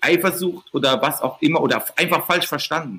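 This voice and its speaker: A man with a Mannheim accent and a high pitch, his tone bright and sharp. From Mannheim, Germany. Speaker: podcast host. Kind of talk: casual chat.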